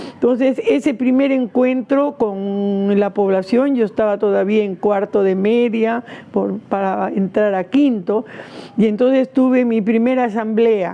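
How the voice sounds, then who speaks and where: Noticeable background noise sits behind the speech. The delivery is fairly slow, with ordinary pitch variation. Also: woman, fairly high pitch for a woman. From Peru, Lima (Rímac). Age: 80s+. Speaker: activist. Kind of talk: interview testimony. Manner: hesitant, with fillers.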